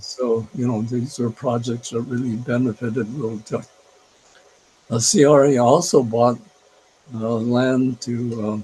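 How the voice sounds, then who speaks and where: Noticeable background noise sits behind a man of medium pitch who speaks with fairly even intonation and long, frequent pauses. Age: 80s+. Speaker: retired urban planner. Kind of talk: interview answer. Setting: video call.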